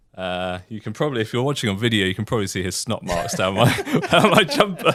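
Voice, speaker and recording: A man talks very fast with lively intonation and a fairly low pitch, over noticeable background noise. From UK. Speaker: editor and PhD researcher. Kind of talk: casual interview.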